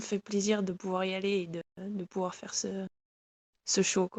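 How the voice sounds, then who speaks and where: Using a monotone, flat intonation, a woman keeps her delivery at a moderate tempo. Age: 20s. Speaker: professional biathlete. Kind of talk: interview. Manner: hesitant, many fillers.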